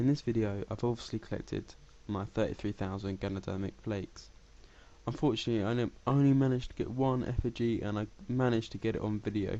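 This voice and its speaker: The man talks at a very fast pace in a dark, mellow tone. His pitch is medium and his intonation fairly even. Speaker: gaming YouTuber. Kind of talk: gameplay tutorial commentary. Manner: casual, hesitant with fillers.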